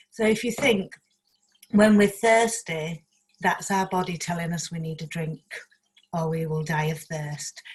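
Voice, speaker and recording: With a Leeds accent, a woman speaks at a fairly slow pace, leaving long, frequent pauses. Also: ordinary pitch variation. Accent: Yorkshire (Leeds) English. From northern England, South Leeds. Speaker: community project speaker. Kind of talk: online talk with presentation. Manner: loud. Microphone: sound problems, speaking loudly close to mic.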